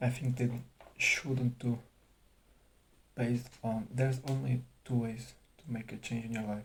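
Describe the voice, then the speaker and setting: Speaking with a non-native accent, a man talks at a fairly slow pace and medium pitch. His voice is somewhat breathy, and his intonation is monotone and flat. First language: not English. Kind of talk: casual talk to camera. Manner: hesitant, stuttering, long pauses.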